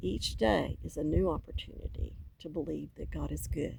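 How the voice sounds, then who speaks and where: Speaking fairly slowly, a woman talks with a Southern US accent. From US South. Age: 60s. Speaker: faith vlogger. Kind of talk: personal testimony.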